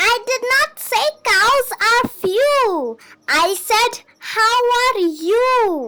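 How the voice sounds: Shouting in a squeaky, put-on character voice, a woman hits an extremely high pitch at a very slow pace. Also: lively intonation.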